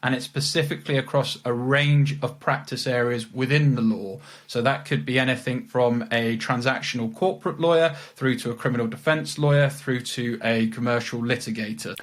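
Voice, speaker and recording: Here a man speaks with a British accent. His pace is fairly quick, with ordinary pitch variation. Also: medium pitch for a man. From England, Leicestershire. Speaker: legal recruiter. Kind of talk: interview. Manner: repeats words, halting.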